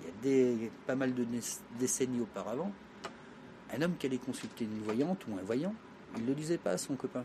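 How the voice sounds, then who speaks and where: A medium-pitched man at a very fast pace, with very wide pitch swings. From France, Traveller community. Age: 50s. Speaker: fortune teller. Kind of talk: interview.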